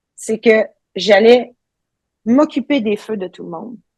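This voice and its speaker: A woman with a Quebec accent speaks at a very slow pace, her fairly high pitch showing ordinary pitch variation. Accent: Québécois. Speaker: ultra trail runner, coach. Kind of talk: podcast interview answer.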